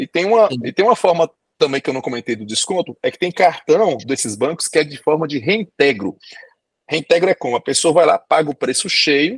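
With a dry, close sound and no echo, a man talks at a fairly quick pace in a fairly high voice, his pitch swinging very widely and his loudness varying greatly. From Brazil. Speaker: doctor and immigration agent. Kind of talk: podcast interview.

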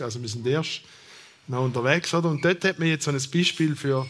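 The speaker talks in a Thurgau accent with lively intonation. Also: man. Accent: Thurgau Swiss German dialect. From eastern Switzerland, Thurgau. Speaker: sociologist, professor. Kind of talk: panel discussion.

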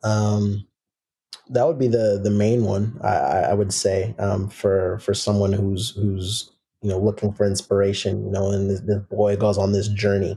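Fairly low-pitched male voice with an American accent, dark, mellow tone, somewhat breathy, very even loudness, and monotone, flat intonation. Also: moderate pace. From US Pacific Northwest, Seattle. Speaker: professional soccer player. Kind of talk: casual interview.

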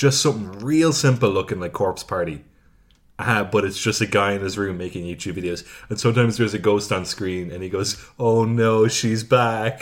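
With an Irish accent, the speaker keeps a moderate pace and ordinary pitch variation on a very clean recording with a silent background. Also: man, fairly low pitch for a man. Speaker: podcast co-host. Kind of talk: casual banter.

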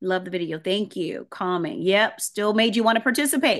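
A woman in a New Orleans accent, animated in tone, with lively intonation and a medium pitch. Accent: Southern US (New Orleans). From US South. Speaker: voice and presentation coach. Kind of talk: online workshop presentation. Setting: video call.

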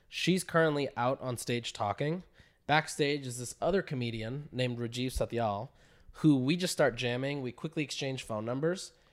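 On a very clean recording with a silent background, a man with a normal speaking voice talks at medium pitch and a moderate pace with ordinary pitch variation. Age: 20s. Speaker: direct-to-consumer marketer. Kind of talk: casual chat.

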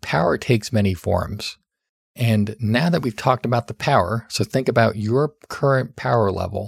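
A man speaks at a medium pitch with lively intonation and a somewhat breathy sound. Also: very clean recording, silent background. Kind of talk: solo podcast talk giving advice.

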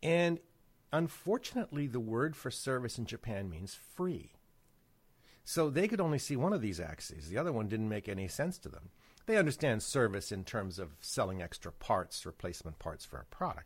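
The recording is very clean with a silent background. A man at medium pitch talks at a moderate pace with vocal fry and very wide pitch swings. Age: 60s. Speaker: business consultant. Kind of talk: casual chat.

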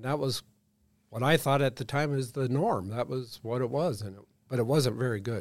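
Moving at a fairly quick pace, a man with a normal speaking voice talks at a medium pitch with ordinary pitch variation. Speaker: state fisheries chief. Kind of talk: casual interview.

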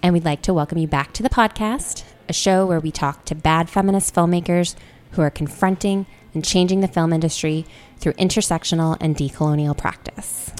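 A woman's fairly low voice with an American accent and ordinary pitch variation, over music in the background. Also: fairly quick pace. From Korea and England as a child, then US from age eight. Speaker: podcast host. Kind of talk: casual interview.

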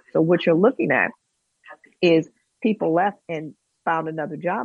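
At a moderate pace, a woman talks in an unremarkable speaking voice with a fairly low pitch. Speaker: professor. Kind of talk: talk radio discussion. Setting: video call.

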